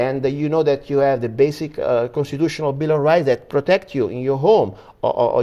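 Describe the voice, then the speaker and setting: A man with an Italian accent, fairly high pitch, a dark, mellow tone and a fairly quick pace. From Italy. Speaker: political commentator. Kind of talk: interview. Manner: halting.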